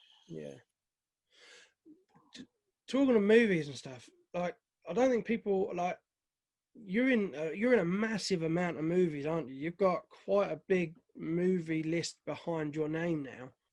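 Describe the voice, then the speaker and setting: A high-pitched man with a British accent at a moderate pace, with lively intonation, big swings in loudness, and long, frequent pauses. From Britain. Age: 40s. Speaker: film reviewer and interviewer. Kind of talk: interview.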